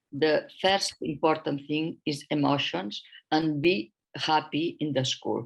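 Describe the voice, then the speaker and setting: Speaking fairly slowly, a woman with a non-native accent has a very deep, low pitch. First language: not English. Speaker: author and educator. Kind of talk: presentation. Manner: halting.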